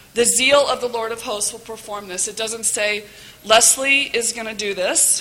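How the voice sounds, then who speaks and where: Delivered at a moderate pace with fairly even intonation, the speech has big swings in loudness and noticeable background noise. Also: woman, fairly high pitch for a woman. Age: 40s. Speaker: volunteer moderator, mother. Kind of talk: testimony.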